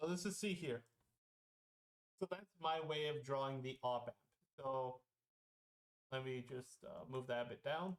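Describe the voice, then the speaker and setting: The speaker keeps a moderate pace but leaves long, frequent pauses. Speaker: student tutor. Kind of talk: tutorial. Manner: loud; casual, filler-heavy.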